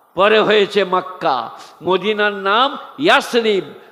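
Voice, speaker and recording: Noticeable background noise can be heard behind this male speaker. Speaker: Islamic preacher. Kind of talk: sermon. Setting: stage with audience. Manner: animated. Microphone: too quiet at times.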